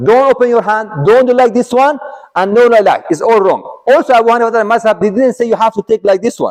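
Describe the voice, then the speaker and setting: The sound is dry and close with no echo as a man speaks at an extremely high pitch. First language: Arabic. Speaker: Islamic teacher. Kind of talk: religious lecture. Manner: halting.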